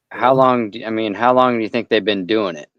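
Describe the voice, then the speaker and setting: At a fairly quick pace, a man talks with a normal speaking voice and a fairly low pitch. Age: 40s. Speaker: stream guest. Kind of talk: casual chat.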